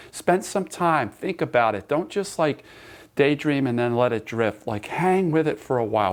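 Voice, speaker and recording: A man talks at a moderate pace with a fairly high pitch. His pitch swings very widely. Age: 60s. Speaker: sports psychology coach and teacher. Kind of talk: recorded online class lecture. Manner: conversational, with repetitions and restarts.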